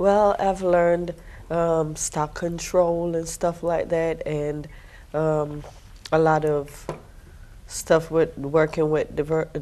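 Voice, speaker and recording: A woman speaks very slowly in a fairly low pitch, with long, frequent pauses. Her intonation is monotone and flat. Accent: Jamaican. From Jamaica. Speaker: military veteran, financial aid staff. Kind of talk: TV interview.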